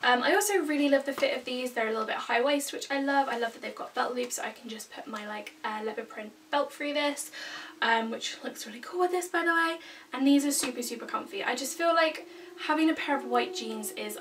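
A woman with a high pitch talks at a fairly quick pace, her loudness swinging widely over light background noise. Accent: British. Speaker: fashion vlogger. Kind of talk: casual vlog talk to camera. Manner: loud, projecting. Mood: upbeat, chatty. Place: home room. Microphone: camera far away; camera far.

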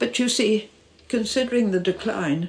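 Somewhat breathy, a woman talks with lively intonation. Her pace is moderate. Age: 80s+. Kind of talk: interview. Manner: animated.

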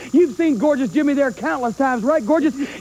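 Loud man's voice at an extremely high pitch, fairly quick pace and ordinary pitch variation. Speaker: wrestling manager. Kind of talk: wrestling promo. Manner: loud, brash. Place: studio. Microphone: handheld.

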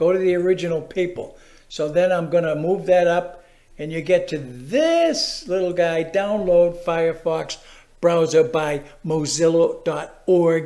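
Against a quiet background, a man with a Massachusetts accent talks at a fairly slow pace. His high-pitched voice has a dark, mellow tone. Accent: New England (Massachusetts). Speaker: how-to video presenter. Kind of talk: tutorial. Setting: screen-recorded video. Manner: casual, chatty, animated.

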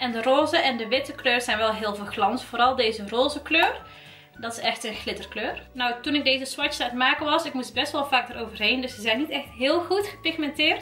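Over faint music in the background, a woman speaks in a raised, projected voice at a fairly quick pace with ordinary pitch variation. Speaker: beauty vlogger. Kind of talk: casual makeup review chat.

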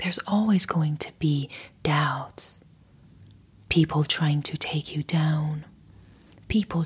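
The speaker talks at a very slow pace with a somewhat breathy quality. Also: woman. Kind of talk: motivational talk to camera. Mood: soft, calm, soothing. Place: home room. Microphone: lapel.

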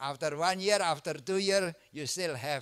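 A man with an Indonesian accent talks at a fairly quick pace over a quiet background. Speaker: obstetrician lecturer. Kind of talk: lecture. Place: hall.

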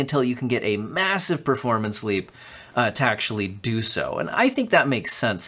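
A man's medium-pitched voice with a fairly bright tone, at a moderate pace

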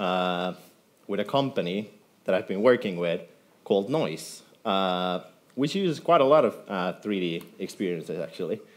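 A moderate pace in a Finnish accent, with very wide pitch swings. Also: man. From Finland. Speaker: software developer; conference speaker. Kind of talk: conference talk. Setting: stage with audience. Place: hall.

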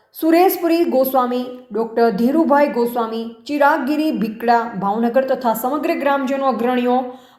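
A woman's high pitch with ordinary variation and very even loudness, amid audible room echo and noticeable background noise. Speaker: news reporter. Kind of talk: news reading.

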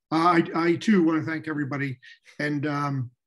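A man talks in a plain, everyday voice at a fairly high pitch and fairly quick pace. His pitch variation is ordinary, and the background is quiet. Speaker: newspaper editor. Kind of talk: panel discussion. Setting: video call. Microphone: earbuds.

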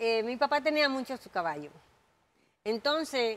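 Speaking at a fairly slow pace with lively intonation, this voice carries a Dominican accent. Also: woman. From Dominican Republic. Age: 60s. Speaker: jockey. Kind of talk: interview. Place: studio.

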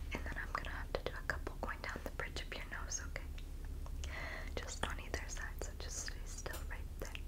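A soft-spoken woman whispering. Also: moderate pace. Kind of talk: soft role-play talk to the viewer. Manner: soft semi-audible ASMR whisper.

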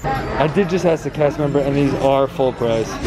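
The recording is dry with no echo, and clear music can be heard behind it. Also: man. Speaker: shopping vlogger. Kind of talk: casual vlog chat. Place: shop. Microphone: phone near.

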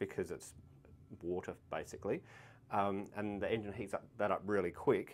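A man speaking at a moderate pace. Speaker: vehicle channel host. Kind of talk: tutorial. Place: workshop. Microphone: lapel.

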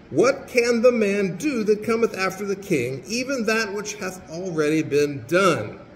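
A man's high pitch and lively intonation at a fairly slow pace, with audible room echo

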